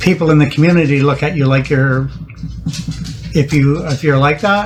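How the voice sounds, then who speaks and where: Music in the background, a moderate pace, and fairly even intonation. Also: man, fairly high pitch for a man. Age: 60s. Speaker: interview guest. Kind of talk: casual interview. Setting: at the guest's house. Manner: halting, many restarts.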